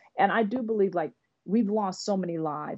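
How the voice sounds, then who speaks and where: With a plain, everyday voice, a woman talks in an American accent at a medium pitch with ordinary pitch variation. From Oakland, California. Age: 50s. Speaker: business executive and author. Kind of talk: interview.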